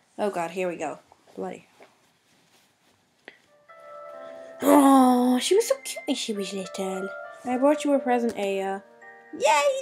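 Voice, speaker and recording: With clear music in the background, a woman talks at a fairly slow pace and ordinary pitch variation. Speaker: gamer. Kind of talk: let's-play commentary and reading game text. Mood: playful, easily startled. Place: home room. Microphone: webcam.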